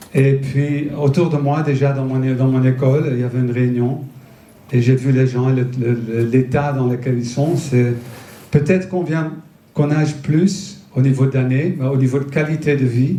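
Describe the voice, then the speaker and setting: A man with a Dutch accent and a dark, mellow, somewhat breathy voice at a medium pitch, with fairly even intonation, a fairly slow pace and audible room echo. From Netherlands. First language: Dutch (speaking French). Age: 50s. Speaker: nutrition entrepreneur and speaker. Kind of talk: public talk. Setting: festival stage with audience. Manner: halting, many hesitations.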